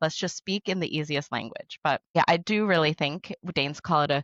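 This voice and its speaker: A woman with an unremarkable speaking voice and an American accent talks at a moderate pace and a fairly low pitch, against a quiet background with a dry, close sound with no echo. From United States. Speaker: social media influencer. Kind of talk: podcast interview.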